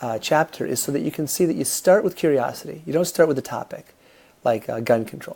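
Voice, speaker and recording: A man with a fairly high pitch speaks in a dark, mellow tone with lively intonation. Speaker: college instructor. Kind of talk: recorded lecture. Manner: halting, many fillers.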